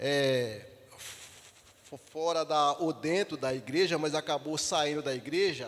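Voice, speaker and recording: With ordinary pitch variation, a man speaks very slowly. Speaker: deacon leading Bible study. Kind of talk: Bible study teaching. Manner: halting, repeats syllables.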